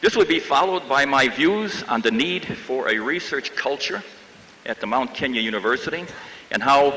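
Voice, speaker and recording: Against noticeable background noise, a man with an American accent speaks at a moderate pace, his fairly high voice showing ordinary pitch variation. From US Midwest, Chicago. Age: 70s. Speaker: professor. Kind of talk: commencement speech.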